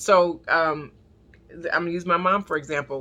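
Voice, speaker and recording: A woman speaks with an American accent in a fairly low pitch with ordinary pitch variation. Her tone is bright and sharp. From US, not the South (city-raised). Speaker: prayer line preacher. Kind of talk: sermon. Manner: halting, repetitive.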